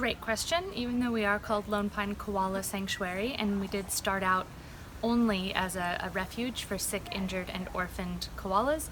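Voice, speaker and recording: A woman with fairly even intonation over noticeable background noise. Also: medium pitch for a woman, moderate pace. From US West Coast, San Diego, California. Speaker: zoo educator. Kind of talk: interview.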